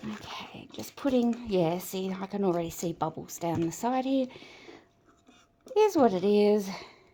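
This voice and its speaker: A woman with an Australian accent speaks at a moderate pace with a medium pitch. Her pitch variation is ordinary, and she leaves long, frequent pauses. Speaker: resin artist. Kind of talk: tutorial. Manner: casual, hesitant with fillers.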